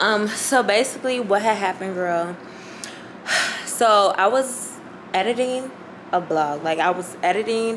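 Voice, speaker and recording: A woman at a moderate pace with ordinary pitch variation over noticeable background noise. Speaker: vlogger. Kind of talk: casual vlog chat. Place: home room. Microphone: phone near.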